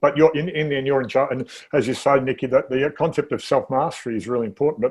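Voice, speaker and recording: With an Australian accent, a man speaks at a very fast pace. His pitch is fairly high, with ordinary pitch variation. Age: 60s. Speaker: interview show host. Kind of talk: casual chat.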